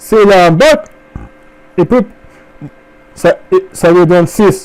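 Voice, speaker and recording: Speech comes very slowly. The speaker is a man. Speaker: immigration advisor. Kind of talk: tutorial. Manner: halting, many fillers.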